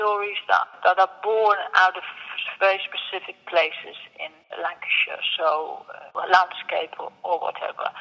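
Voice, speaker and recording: Through noticeable background noise, a woman with a Dutch accent talks at a fairly slow pace. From Netherlands. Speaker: sculptor. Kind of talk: interview. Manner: hesitant, with fillers.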